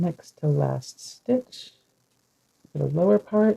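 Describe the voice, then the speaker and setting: Very slowly and softly, a woman speaks in a relaxed tone. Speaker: crafts streamer and teacher. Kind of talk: live crafting tutorial. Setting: live stream. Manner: soft-spoken, tends to speak low; relaxed, unhurried.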